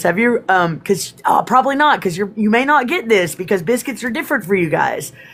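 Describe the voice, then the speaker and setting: Animated in tone, a woman with an American accent speaks with very wide pitch swings. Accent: Texas accent, comes out on certain words. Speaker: spiritual live streamer. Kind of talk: casual chat. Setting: live stream.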